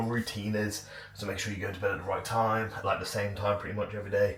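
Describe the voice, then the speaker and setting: Against noticeable background noise and audible room echo, a man talks at a fairly quick pace in a fairly low pitch. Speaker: bodybuilding vlogger. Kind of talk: casual vlog. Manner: casual, filler-heavy.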